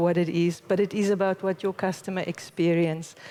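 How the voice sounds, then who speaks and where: A woman speaks at a mid-range pitch, her tone dark and mellow. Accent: South African. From South Africa. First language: Afrikaans. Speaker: conference speaker, company managing director. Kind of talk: conference talk.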